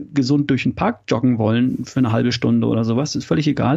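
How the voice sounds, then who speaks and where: Very fast speech from a man at medium pitch, dark and mellow in tone, with vocal fry. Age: 50s. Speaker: health coach and former engineer. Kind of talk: interview.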